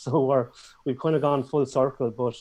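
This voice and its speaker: Talking at a fairly quick pace with fairly even intonation, a man speaks in a strong Irish accent. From Ireland. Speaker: business owner, course creator. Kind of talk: casual interview. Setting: YouTube live stream. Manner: fast.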